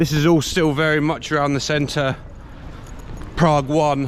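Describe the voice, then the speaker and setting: With an English accent, a man speaks at a moderate pace over noticeable background noise. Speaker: travel vlogger. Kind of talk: travel vlog. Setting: pub. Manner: casual, slightly mumbling.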